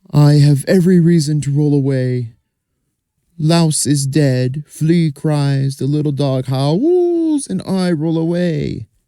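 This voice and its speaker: A man uses a put-on character voice at a fairly high pitch. He talks at a fairly slow pace. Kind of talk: folktale telling. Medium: read story. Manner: repetitive, sing-song.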